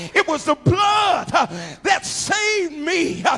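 Shouting at an extremely high pitch and a very slow pace, a man with an American accent keeps ordinary pitch variation. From Ohio, USA. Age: 50s. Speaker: preacher. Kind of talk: sermon. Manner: melodic, rhythmic preaching. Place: church. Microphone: handheld.

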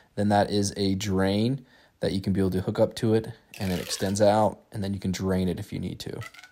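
The voice has a dark, mellow tone and monotone, flat intonation at a fairly quick pace. Light background noise can be heard. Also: man, fairly low pitch for a man. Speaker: product reviewer. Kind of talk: casual product review walkthrough. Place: home room.

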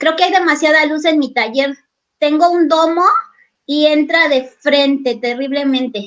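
In a Mexican accent, a woman talks at a fairly slow pace with a high pitch and ordinary pitch variation over a quiet background. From Mexico, Guerrero (near Acapulco). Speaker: craft artist. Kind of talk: live craft demo. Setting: video call from her workshop. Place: workshop. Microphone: video call.

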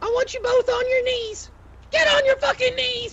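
At a moderate pace, the voice has an extremely high pitch over light background noise. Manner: showy, bossy, escalating to shouting.

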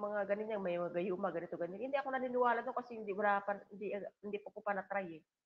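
A woman talks at a very fast pace with a medium pitch. Her pitch variation is ordinary. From Philippines, island coastal town. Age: 50s. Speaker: livestream vlogger. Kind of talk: casual livestream chat. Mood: emotional, reflective. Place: home room. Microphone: video call.

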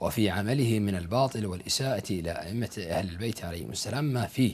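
At a moderate pace, a man with a fairly low pitch speaks in a somewhat breathy voice with very wide pitch swings. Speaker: religious commentator. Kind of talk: polemical commentary. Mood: scornful, argumentative. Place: studio.

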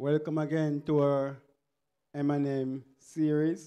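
A man's dark, mellow, monotone voice with flat intonation over a quiet background. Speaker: men's ministry host. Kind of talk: church meeting welcome address. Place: church. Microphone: handheld.

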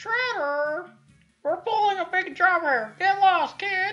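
An extremely high-pitched, put-on character voice speaks at a fairly slow pace over music in the background. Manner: gruff, shouting.

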